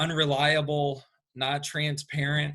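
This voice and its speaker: Speaking very slowly with a Southern US accent, a man has a fairly high pitch and a bright, sharp tone. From US South, Atlanta. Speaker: construction company owner. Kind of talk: interview. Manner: hesitant, many fillers.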